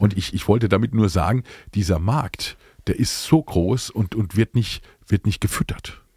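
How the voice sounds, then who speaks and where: In a dry, close sound with no echo, a man with a fairly low, somewhat breathy voice and a dark, mellow tone speaks at a fairly slow pace, with ordinary pitch variation and long, frequent pauses. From Palatinate, Germany (Speyer). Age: 50s. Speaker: singer-songwriter. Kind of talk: casual interview chat.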